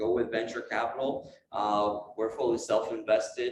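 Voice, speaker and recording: A man with a Quebec accent at a moderate pace. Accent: French Canadian accent in English. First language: French. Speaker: space industry entrepreneur. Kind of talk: lecture. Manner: halting.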